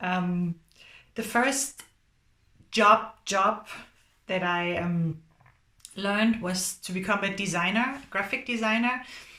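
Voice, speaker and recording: Bright and sharp in tone, a woman with a German accent talks at a fairly slow pace in a medium pitch, with lively intonation and long, frequent pauses. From Germany. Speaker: graphic designer. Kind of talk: recorded talk to students. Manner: halting.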